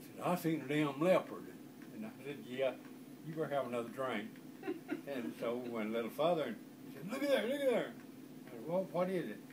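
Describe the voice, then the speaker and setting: A man with an Arkansas accent at a fairly quick pace, fairly high in pitch with very wide pitch swings, over noticeable background noise. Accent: Southern US, Arkansas. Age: old. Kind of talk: storytelling, family anecdote.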